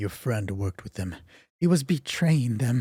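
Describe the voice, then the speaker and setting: A man's put-on character voice at medium pitch with very wide pitch swings, moderate pace, dry, close sound with no echo, and a very clean recording with a silent background. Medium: actual play. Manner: terse, clipped.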